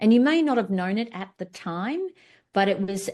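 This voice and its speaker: A woman with an Australian accent speaks at a moderate pace with lively intonation against a quiet background. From Australia, far north Queensland. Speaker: business founder and workshop presenter. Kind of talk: workshop presentation. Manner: casual with filler words.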